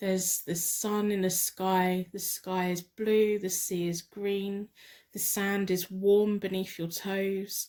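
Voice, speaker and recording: With an English accent, a woman talks at a very slow pace in a medium pitch. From England. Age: 40s. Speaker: tarot card reader. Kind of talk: tarot reading with guided meditation. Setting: home spare bedroom.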